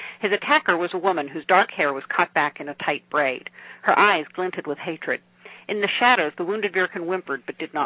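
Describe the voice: Ordinary pitch variation in plain reading aloud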